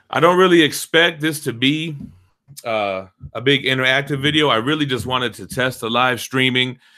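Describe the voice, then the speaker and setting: With ordinary pitch variation, a man talks at a fairly quick pace and a medium pitch. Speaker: comic book collector and youtuber. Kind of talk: live stream unboxing chat. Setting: live stream at desktop. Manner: animated.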